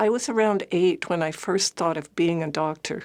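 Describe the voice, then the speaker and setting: Vocal fry at a moderate pace, with a Canadian accent. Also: woman. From Ottawa, Canada. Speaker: retired family physician. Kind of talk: personal memoir talk.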